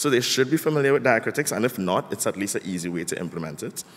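Lively intonation from a man. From Trinidad. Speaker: typeface designer. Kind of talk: conference talk. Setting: stage with audience. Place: hall. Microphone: podium.

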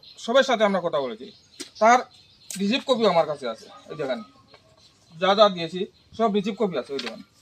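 Noticeable background noise surrounds a man with a high pitch. His pitch swings very widely and his loudness varies a lot. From Tripura, India (Unakoti district). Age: 40s. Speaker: local resident. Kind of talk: interview testimony. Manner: halting.

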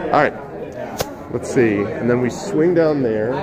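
Noticeable background noise sits behind a man speaking in an American accent. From US South, South Carolina. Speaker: streamer and author interviewing authors; streamer, author interviewing authors. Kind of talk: reading aloud own fiction; casual live stream chat and interviews. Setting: live stream from a book fair on phone. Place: hall. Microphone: phone near.

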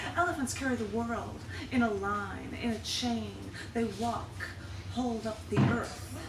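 Loud background noise surrounds a woman whose speech moves fairly slowly. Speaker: poet at a public reading. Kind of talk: poetry reading. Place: shop.

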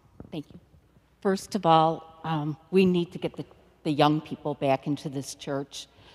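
Her voice is very deep and low, and her intonation is fairly even. This woman speaks at a fairly slow pace with big swings in loudness. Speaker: parishioner. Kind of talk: comment at parish meeting. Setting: church. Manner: halting. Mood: earnest, concerned. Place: church.

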